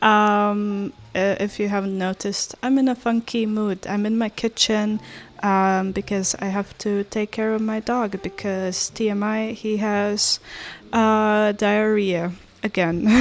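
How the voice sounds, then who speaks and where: In a non-native accent, a woman speaks at a fairly slow pace and medium pitch, her intonation monotone and flat. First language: not English. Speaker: artist. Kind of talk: casual chat. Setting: kitchen at home. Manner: hesitant with many fillers.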